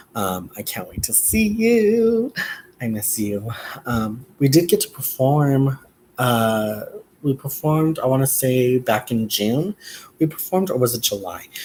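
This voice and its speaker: Somewhat breathy, a man at a medium pitch speaks at a fairly slow pace with very wide pitch swings. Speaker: drag performer and vlogger. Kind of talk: casual vlog monologue.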